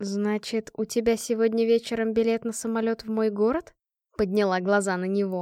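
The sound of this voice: An unforced reading voice moves with fairly even intonation against a quiet background.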